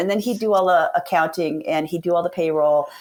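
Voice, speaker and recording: A woman has an ordinary speaking voice, fairly low in pitch with ordinary pitch variation. She talks at a moderate pace in a very clean recording, silent background. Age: 60s. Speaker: veterinarian and practice owner. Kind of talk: podcast interview. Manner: casual, conversational.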